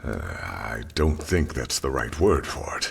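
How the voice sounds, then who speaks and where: A man puts on a character voice, pitched very deep and low. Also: fairly slow pace. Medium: machinima. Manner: subdued, heavy.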